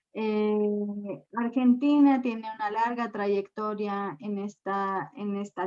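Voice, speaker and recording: A woman speaks with a medium pitch. Her intonation is fairly even. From Mexico. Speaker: gender and energy expert. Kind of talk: lecture.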